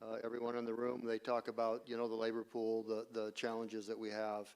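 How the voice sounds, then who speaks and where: In a medium pitch, a man speaks with monotone, flat intonation at a fairly quick pace. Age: 60s. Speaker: well driller. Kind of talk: panel discussion.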